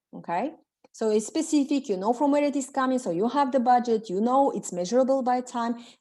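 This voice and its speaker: In a Bulgarian accent, a woman talks at a fairly quick pace with a high pitch and a dark, mellow tone. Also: ordinary pitch variation. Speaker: self-development coach. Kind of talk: webinar coaching session. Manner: halting.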